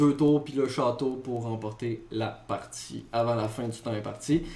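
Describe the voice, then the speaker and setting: A man speaks in a flat monotone. Background noise is noticeable. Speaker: gaming podcast co-host. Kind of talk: casual chat; news reading.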